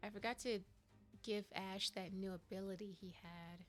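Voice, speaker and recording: Music plays in the background while a woman speaks at a fairly slow pace. Her pitch is medium and her intonation monotone and flat. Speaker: video game streamer. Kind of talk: casual gameplay commentary.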